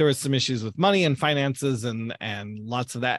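Speaking at a fairly quick pace over a quiet background, a man with an American accent and medium pitch has an unremarkable speaking voice. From US Midwest, Southern Illinois. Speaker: youth camp director. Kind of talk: interview testimony.

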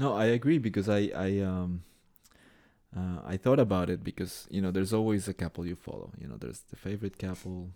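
A man's very deep, low voice with a dark, mellow tone and a Spanish accent, fairly quick in pace, with big swings in loudness. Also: ordinary pitch variation. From Colombia. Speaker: tango organizer and dancer. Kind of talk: casual interview chat.

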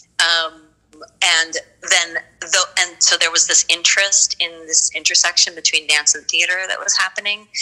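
Someone with an American accent speaks at a moderate pace over music in the background. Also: woman. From US East Coast, Philadelphia and Baltimore. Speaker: theater artist. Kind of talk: interview. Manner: halting.

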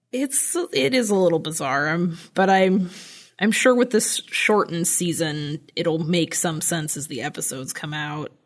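With an ordinary speaking voice, a woman talks at a fairly slow pace and a fairly low pitch. Her intonation is lively. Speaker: podcast host. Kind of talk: casual chat.

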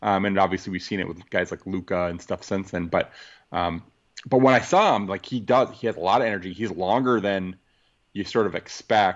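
Man with a plain, everyday voice, fairly low pitch, a fairly quick pace and fairly even intonation. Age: 40s. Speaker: sports podcast co-host. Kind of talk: casual chat.

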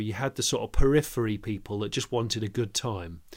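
On a very clean recording with a silent background, a man with an English accent talks at a moderate pace and medium pitch with fairly even intonation. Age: 40s. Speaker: motoring journalist and presenter. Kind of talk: podcast interview. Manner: halting, many repeated words.

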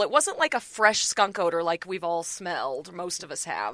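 This is a woman speaking. Her pace is moderate. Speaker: TV reporter. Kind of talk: casual chat.

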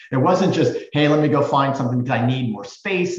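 Somewhat breathy and fairly high in pitch, a man speaks in an American accent with audible room echo. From US West Coast (Silicon Valley). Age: 50s. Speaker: real estate executive. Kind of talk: interview.

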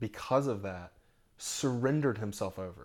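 A man with an American accent and a plain, everyday voice, medium pitch, ordinary pitch variation and a moderate pace, in a very clean recording with a silent background. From Orlando, Florida. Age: 40s. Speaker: pastor. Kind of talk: casual interview. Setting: at home.

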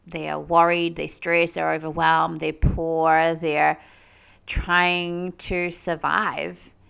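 At a very slow pace, a woman speaks with a New Zealand accent. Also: very clean recording, silent background. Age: 30s. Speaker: spiritual medium and podcast host. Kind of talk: solo podcast monologue. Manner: laughs often.

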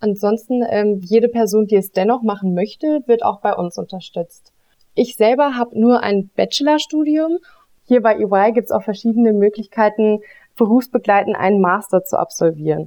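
Her pitch fairly high, a woman with an unremarkable speaking voice delivers her words at a moderate pace, her pitch shifting in an ordinary way. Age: 20s. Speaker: auditing consultant. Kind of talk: interview, explaining job.

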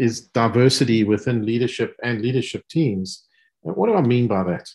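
Against a quiet background, a man with a South African accent talks at a moderate pace and medium pitch. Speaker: business executive. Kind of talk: panel discussion.

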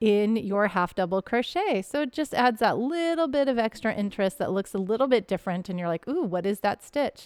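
A woman speaks at a fairly quick pace with a fairly high pitch, lively intonation and hardly any pauses. The recording is very clean, with a silent background and a dry, close sound with no echo. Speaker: podcast host and crochet teacher. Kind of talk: casual chat. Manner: fast talker; energetic.

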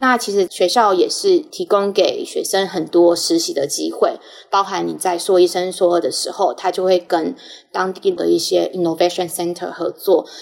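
Noticeable background noise runs through the clip. A woman speaks over it at a moderate pace. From Taiwan. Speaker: pharma business analytics manager. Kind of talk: interview.

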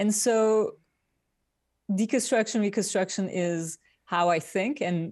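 A voice with a Turkish accent and ordinary pitch variation. It moves at a fairly slow pace. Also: woman. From Turkey. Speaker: industrial designer. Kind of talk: interview. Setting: remote call from Midtown New York.

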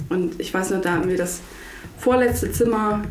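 A woman talks at a moderate pace and medium pitch, with noticeable background noise and audible room echo in the recording. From northern Germany, Lower Saxony coast (Butjadingen). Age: 20s. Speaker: intensive care nurse. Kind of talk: casual interview.

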